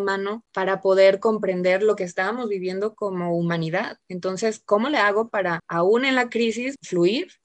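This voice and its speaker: A woman at a medium pitch with a Mexican accent, moderate in pace and with hardly any pauses. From Mexico, Jalisco. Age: 30s. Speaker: podcast co-host. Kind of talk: casual chat.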